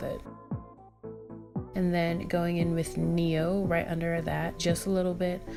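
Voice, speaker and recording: A woman's fairly slow speech is heard with music in the background. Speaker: beauty vlogger. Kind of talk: makeup tutorial voiceover.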